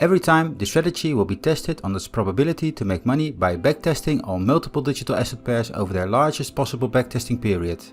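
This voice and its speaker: A man with a Dutch accent at a very fast pace, medium pitch with very wide pitch swings, hardly any pauses, and music in the background. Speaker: crypto trading bot reviewer. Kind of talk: tutorial. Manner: formal.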